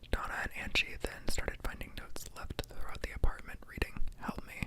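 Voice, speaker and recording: A man whispering at a fairly quick pace over noticeable background noise. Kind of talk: read-aloud true horror story. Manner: whispered.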